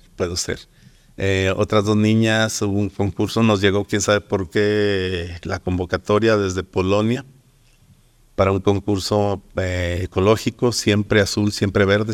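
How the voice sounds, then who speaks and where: In a very clean recording with a silent background, a man speaks at a fairly slow pace in a monotone, flat intonation. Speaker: painter and art teacher. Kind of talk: interview. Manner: hesitant, many fillers.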